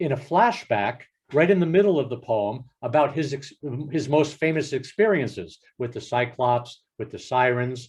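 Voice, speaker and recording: Somewhat breathy and at a fairly slow pace, the speech carries an American accent. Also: man. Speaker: professor. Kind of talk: lecture. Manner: halting.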